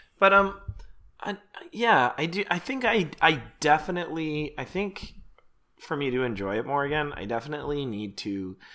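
A man with a Canadian accent speaks in a medium pitch with a bright, sharp tone and very wide pitch swings, on a very clean recording with a silent background. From Canada. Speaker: podcast co-host. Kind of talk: casual chat. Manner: fast talker.

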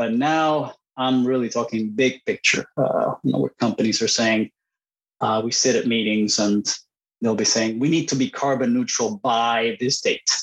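A man with a Spanish accent talks at a moderate pace and medium pitch, with very even loudness and fairly even intonation. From Puerto Rico and Costa Rica. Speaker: engineer, university program director. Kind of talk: interview. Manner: halting, many fillers and repeats.

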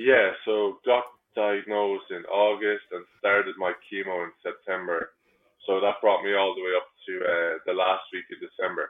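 A man with an Irish accent at a moderate pace. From Ireland. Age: 20s. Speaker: cancer survivor and bartender. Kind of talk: interview.

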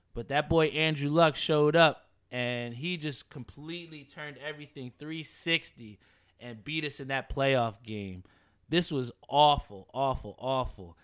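On a very clean recording with a silent background, a man speaks fairly slowly with ordinary pitch variation and big swings in loudness. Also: fairly high pitch for a man. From New Jersey (Edison). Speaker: sports podcast host. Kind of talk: casual sports talk. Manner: animated.

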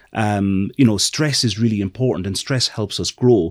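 A man with an Irish accent talks at medium pitch and a moderate pace. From Ireland. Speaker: marketing executive. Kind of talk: casual interview conversation.

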